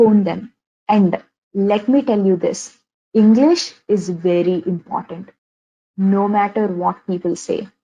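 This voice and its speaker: Speaking very slowly with long, frequent pauses, a woman with a Telugu accent has a dark, mellow tone, medium pitch and ordinary pitch variation. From India, Andhra Pradesh (Vijayawada). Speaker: software engineer giving career talk. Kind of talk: webinar talk. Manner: many fillers and repetitions.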